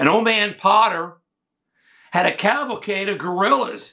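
Against a quiet background, a man speaks at a moderate pace in a bright, sharp tone. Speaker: reenactor playing a historical figure. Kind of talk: dramatic first-person monologue. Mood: grave, haunted storytelling.

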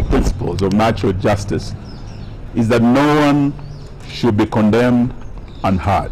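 With light background noise behind him, a man speaks using ordinary pitch variation. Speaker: politician at press conference. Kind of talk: press statement. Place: street. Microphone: handheld.

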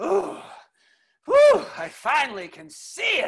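High pitch at a fairly slow pace. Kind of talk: comic table read. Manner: villainous, theatrical.

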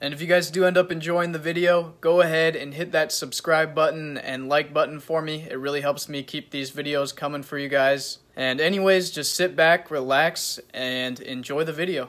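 This man speaks with hardly any pauses. His intonation is fairly even. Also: moderate pace. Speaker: motorbike build channel host. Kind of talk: casual vlog intro. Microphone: phone near.

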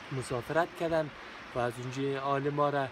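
The delivery is monotone and flat at a moderate pace. There is noticeable background noise, and the sound is dry with no echo. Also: man. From Afghanistan, Ghazni (Jaghori); Afghanistan. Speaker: civil servant, former journalist; former journalist. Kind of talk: interview. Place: open country. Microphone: phone near.

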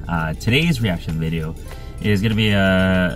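A man with a very deep, low pitch at a moderate pace, the sound dry with no echo and clear music in the background. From Hawaii. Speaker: YouTube reactor. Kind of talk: casual talk to camera. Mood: calm, somber lead-in. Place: car. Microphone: phone near.

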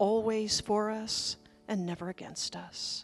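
Over clear music in the background, the voice carries a calm, soothing tone in monotone, flat intonation. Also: woman. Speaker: minister leading a service. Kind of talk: guided meditation opening at a church service. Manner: calm, slow, soothing. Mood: calm, gentle, reverent. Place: church. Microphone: handheld.

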